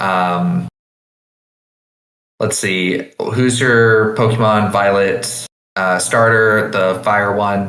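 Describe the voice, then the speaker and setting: With audible room echo, a man speaks in a fairly low pitch, his intonation monotone and flat and his loudness very even. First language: not English; learned with French early on. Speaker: podcast guest, game writer. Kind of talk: casual chat. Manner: fast.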